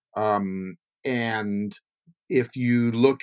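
Here is a normal speaking voice. The recording is very clean with a silent background, in a dry, close sound with no echo. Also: man. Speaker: podcast host and interviewer. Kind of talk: interview.

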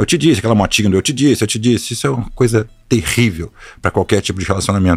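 A man's fairly low, somewhat breathy voice, very fast, with lively intonation. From Rio de Janeiro, Brazil (born São Paulo, moved young). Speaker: hedge fund partner. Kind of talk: casual interview.

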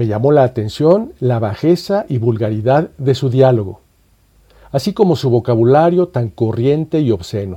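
A man with a dark, mellow tone talks at a moderate pace, somewhat breathy, with lively intonation. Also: medium pitch for a man. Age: 60s. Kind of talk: scripted narration. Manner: formal.

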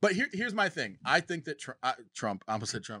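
Recorded very cleanly against a silent background, the dry, close sound has no echo, and the bright, sharp tone moves through very wide pitch swings. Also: man. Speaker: political podcast co-host. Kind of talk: casual political debate.

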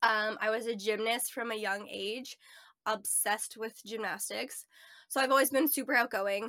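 Speaking at a moderate pace with a Canadian accent, a woman uses a fairly high pitch, a bright, sharp tone and fairly even intonation. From Ontario, Canada. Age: 20s. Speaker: van lifer and photographer. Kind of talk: casual interview chat.

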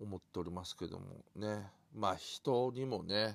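Recorded very cleanly against a silent background, a man speaks in a fairly low, relaxed voice with ordinary pitch variation. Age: 50s. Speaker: podcaster. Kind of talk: casual monologue. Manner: relaxed, halting with fillers.

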